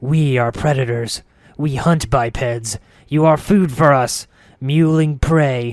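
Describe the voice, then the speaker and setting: A man uses a growling, put-on character voice at a medium pitch and a fairly slow pace. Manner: snarling, menacing.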